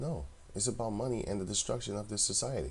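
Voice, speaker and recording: A man with a non-native accent at a moderate pace, with a dark, mellow tone. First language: not English. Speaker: religious video commentator. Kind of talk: religious commentary monologue. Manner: casual, conversational.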